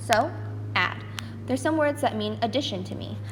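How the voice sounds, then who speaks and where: The woman's fairly quick delivery comes with audible room echo and noticeable background noise behind it. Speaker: math teacher. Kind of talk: recorded lesson. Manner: fast.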